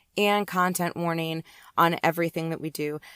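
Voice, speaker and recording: A woman speaks at a fairly low pitch with fairly even intonation in a dry, close sound with no echo. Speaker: podcast host. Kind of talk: podcast intro.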